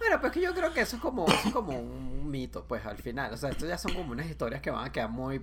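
Over noticeable background noise, a man with a Caracas accent talks at a very fast pace. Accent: Venezuelan (Caracas). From Venezuela, Caracas area (San Antonio de los Altos). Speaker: podcast guest. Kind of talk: casual chat.

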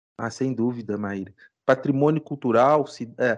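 A man with a normal speaking voice talks at medium pitch and a moderate pace, with ordinary pitch variation over a quiet background. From Ouro Preto, Minas Gerais, Brazil. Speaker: law professor. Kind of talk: interview, explanatory.

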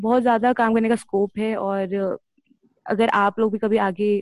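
A woman's normal speaking voice at medium pitch, fairly even in intonation, with a dry, close sound and no echo. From Delhi, India. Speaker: NGO worker, menstrual health campaigner. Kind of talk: personal story sharing.

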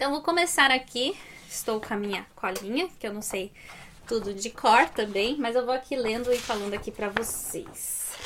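Woman's voice at a fairly high pitch, moderate pace and lively intonation. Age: 30s. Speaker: finance YouTuber. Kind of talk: tutorial. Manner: animated.

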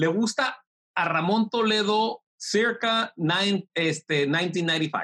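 This man's voice has a bright, sharp, animated tone and ordinary pitch variation. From Mexico, Tijuana. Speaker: tech entrepreneur. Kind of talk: interview.

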